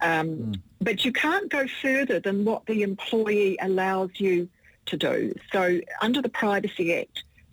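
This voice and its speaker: A woman with a New Zealand accent speaks at a fairly slow pace. Her medium pitch carries lively intonation. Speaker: employment lawyer. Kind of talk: radio interview.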